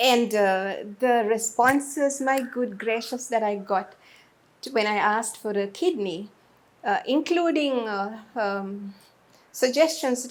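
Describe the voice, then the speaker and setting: Recorded very cleanly against a silent background, a woman speaks fairly slowly at a fairly high pitch with ordinary pitch variation in an unremarkable speaking voice. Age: 60s. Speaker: media personality. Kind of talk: interview.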